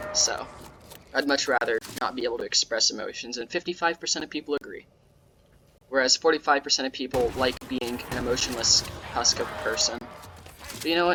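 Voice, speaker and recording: Speech comes at a fairly quick pace but with long, frequent pauses. Noticeable background noise runs underneath. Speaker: gaming youtuber. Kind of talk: gameplay commentary. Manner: sarcastic-sounding.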